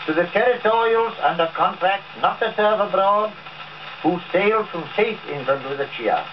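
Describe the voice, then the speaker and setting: A man's voice amid noticeable background noise. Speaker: army general. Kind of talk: commemorative speech. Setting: historic gramophone recording.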